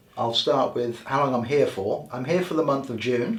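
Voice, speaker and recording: With an English accent, a man speaks at a medium pitch with ordinary pitch variation, with noticeable background noise and audible room echo. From England. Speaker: healer and author. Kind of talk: interview.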